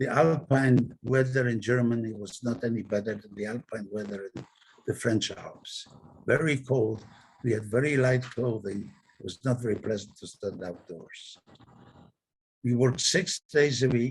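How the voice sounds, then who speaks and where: A man's medium-pitched, somewhat breathy voice at a moderate pace, with ordinary pitch variation and big swings in loudness. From Poland, Krakow. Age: 90s. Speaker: Holocaust survivor. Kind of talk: testimony. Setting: video call.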